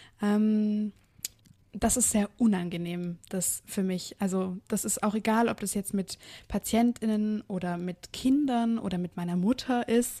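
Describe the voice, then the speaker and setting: A woman speaks at a medium pitch in a dark, mellow tone with fairly even intonation. The recording is very clean and silent behind her, dry and close with no echo. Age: 20s. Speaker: physiotherapist and running coach. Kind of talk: interview.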